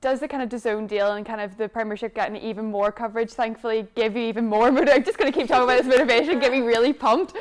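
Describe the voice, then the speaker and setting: A woman's fairly high voice with a Northern Irish accent, very fast pace and ordinary pitch variation, against noticeable background noise. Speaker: sports show host. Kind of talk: interview.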